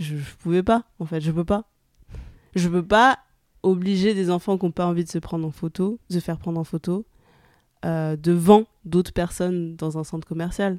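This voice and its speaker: Fairly low in pitch, a woman speaks at a moderate pace with fairly even intonation and long, frequent pauses. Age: 20s. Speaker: photographer. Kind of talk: casual chat. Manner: hesitant.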